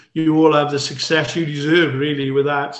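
With audible room echo, a man speaks at a moderate pace with a fairly high pitch. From South Africa. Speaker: ex-serviceman and golfer. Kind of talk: casual chat. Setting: video call. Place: home room. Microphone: video call.

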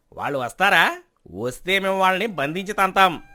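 This put-on character voice has a bright, sharp tone and lively intonation. It moves at a moderate pace. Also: man, high pitch for a man.

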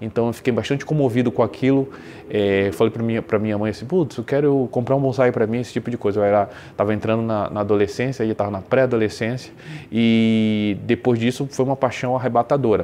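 Through noticeable background noise, a man talks at a very fast pace with a medium pitch and fairly even intonation. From Brazil, Belém do Pará. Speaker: bonsai hobbyist. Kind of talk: show-and-tell presentation. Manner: hesitant, many fillers.

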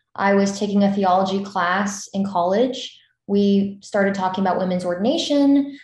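A woman with an American accent sounds somewhat breathy, with audible room echo. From US Southeast. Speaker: filmmaker. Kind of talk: panel Q&A. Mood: grateful, warm. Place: home room. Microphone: video call.

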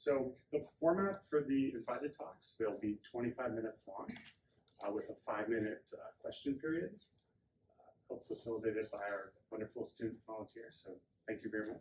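A somewhat breathy man speaks at a moderate pace with long, frequent pauses. Light background noise is audible. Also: ordinary pitch variation. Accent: American. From Wisconsin. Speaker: workshop organizer; speaker. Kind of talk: presentation. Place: meeting room. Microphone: camera far.

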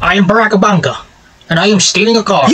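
A man talks at a very fast pace. He puts on a high-pitched character voice. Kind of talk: comic overacting. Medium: machinima.

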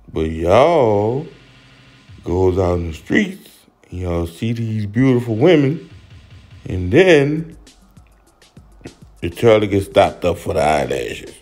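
Music plays in the background as a man speaks with a New Orleans accent at a fairly slow pace. His pitch is medium but swings very widely, and his pauses are long and frequent. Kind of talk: comedic voiceover commentary.

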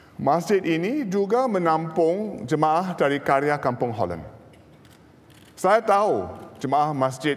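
Talking at a fairly slow pace, a man makes very wide pitch swings. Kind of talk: formal speech. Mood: warm, smiling. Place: hall. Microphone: podium.

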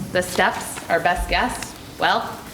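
Speech from a woman, with noticeable background noise and audible room echo. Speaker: special education program leader. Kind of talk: prepared presentation. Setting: school board meeting. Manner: formal.

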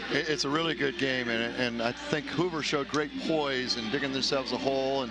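A man at a fairly quick pace, dry sound with no echo, loud background noise. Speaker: college basketball coach working as a color analyst. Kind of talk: sports broadcast color commentary. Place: hall. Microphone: headset.

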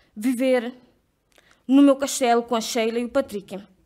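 Over a quiet background, a woman with a high pitch talks at a moderate pace. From Cape Verde. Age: 20s. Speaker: leadership program participant. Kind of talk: personal testimony speech. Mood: earnest, reflective. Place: hall. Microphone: podium.

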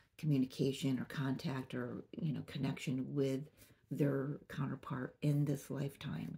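A woman speaks at a fairly slow pace in a very deep, low pitch, her tone dark and mellow. Her voice is somewhat breathy and her intonation fairly even. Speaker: spiritual reader. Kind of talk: channeled message monologue. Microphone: phone near.

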